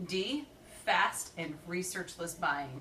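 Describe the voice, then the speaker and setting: A woman's fairly low voice moves with lively intonation at a very slow pace. Noticeable background noise sits under her speech. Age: 30s. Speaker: podcast panelist. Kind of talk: casual chat. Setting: home recording.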